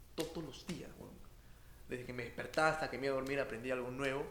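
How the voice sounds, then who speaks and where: The intonation is fairly even. Audible room echo and noticeable background noise fill the recording. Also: man. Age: 20s. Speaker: comedian. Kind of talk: casual interview.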